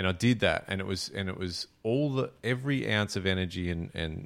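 On a very clean recording with a silent background, a man with an Australian accent speaks in a very deep, low voice. His pace is moderate and his pitch varies in an ordinary way. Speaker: fishing podcast host. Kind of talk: casual chat.

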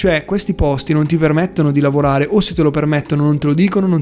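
This man speaks very fast in a Bergamasque accent, his tone animated and his pitch fairly high. Noticeable background noise runs underneath. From Bergamo, northern Italy. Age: young. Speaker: startup founder. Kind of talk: interview.

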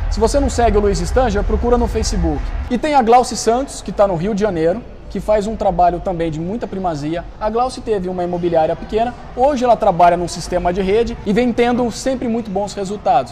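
A man's high-pitched, fairly quick speech with ordinary pitch variation over noticeable background noise. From Brazil, Campinas (São Paulo state). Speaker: real estate marketing consultant. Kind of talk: podcast interview.

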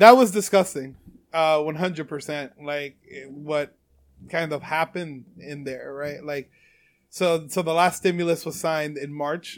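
A normal speaking voice moves at a fairly slow pace with big swings in loudness and ordinary pitch variation, in a very clean recording with a silent background. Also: man, fairly high pitch for a man. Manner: casual, profane.

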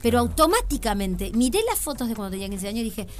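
Talking at a very fast pace, a woman speaks with a Uruguayan accent. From Uruguay, Canelones. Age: 40s. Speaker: comedian. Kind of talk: casual chat.

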